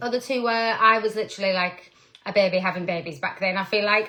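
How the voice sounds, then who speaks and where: In a northern English accent, a woman speaks with a bright, sharp tone, a fairly high pitch and lively intonation. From northern England. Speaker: direct sales team leader. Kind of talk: live stream talk. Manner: casual, chatty.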